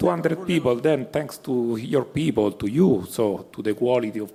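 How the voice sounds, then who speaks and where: A man speaks with an Italian accent and lively intonation. There is noticeable background noise. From Italy. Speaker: pharma company executive. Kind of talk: panel discussion. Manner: halting, many fillers.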